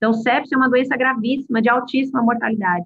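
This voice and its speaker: High pitch marks this woman's voice. It varies in an ordinary way. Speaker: medical professor. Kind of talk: lecture.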